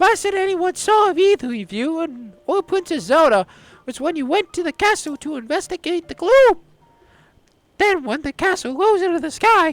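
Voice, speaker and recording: A man puts on a squeaky character voice at an extremely high pitch, speaking at a moderate pace. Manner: put-on character voice, worried and welcoming.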